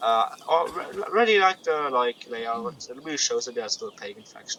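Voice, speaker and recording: Noticeable background noise runs under a man speaking at a moderate pace. His fairly high voice takes very wide pitch swings and big swings in loudness. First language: not English. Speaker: gaming YouTuber. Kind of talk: gameplay commentary. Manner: halting, many fillers and repetitions; casual.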